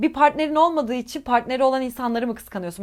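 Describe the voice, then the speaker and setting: Over a silent background in a very clean recording, a woman speaks in a high, animated voice. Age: 20s. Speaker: YouTuber and English teacher. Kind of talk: casual advice chat answering viewer questions.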